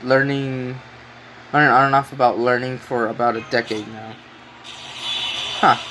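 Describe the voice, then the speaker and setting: A medium-pitched male voice at a moderate pace, with noticeable background noise. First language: Spanish. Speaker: game streamer. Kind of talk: casual live stream chat. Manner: halting, many fillers.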